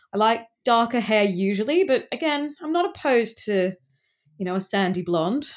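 The voice moves at a moderate pace with very wide pitch swings. The recording is very clean, with a silent background. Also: woman, fairly high pitch for a woman. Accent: Australian. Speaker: friend of the host, dating-story guest. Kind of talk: casual chat.

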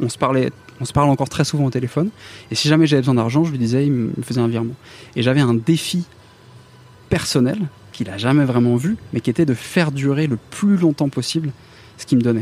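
A man's very fast pace, broken by long, frequent pauses, with ordinary pitch variation. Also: medium pitch for a man. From northern France, Picardy. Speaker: tech employee who made a fortune from shares. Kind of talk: interview. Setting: café terrace.

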